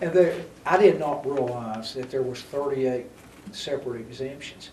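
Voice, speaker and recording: Amid noticeable background noise and audible room echo, a man with an American accent speaks with big swings in loudness. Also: medium pitch for a man, ordinary pitch variation, moderate pace. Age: 70s. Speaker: city mayor, show host. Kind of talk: local TV interview.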